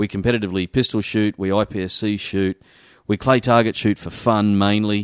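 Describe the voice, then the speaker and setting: Someone talks at a fairly quick pace with an Australian accent and fairly even intonation. The sound is dry and close with no echo, over a quiet background. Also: man. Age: 40s. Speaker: shooters' association representative. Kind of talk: interview.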